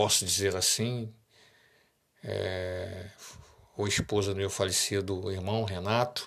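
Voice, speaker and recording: Long, frequent pauses break up a man's very slow speech. His fairly low voice stays monotone, with flat intonation. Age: 60s. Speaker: radio host. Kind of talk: casual monologue.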